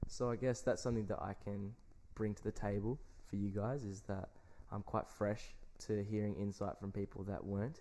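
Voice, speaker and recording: Fairly low-pitched male voice in an Australian accent, dark and mellow in tone, with fairly even intonation at a moderate pace. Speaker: podcast co-host. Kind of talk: casual chat.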